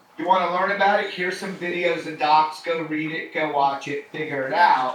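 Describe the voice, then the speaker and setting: Here a man with an American accent talks at a moderate pace, his high pitch carried by fairly even intonation. Audible room echo and noticeable background noise surround him. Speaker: company co-founder and educator. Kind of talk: lecture. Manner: casual.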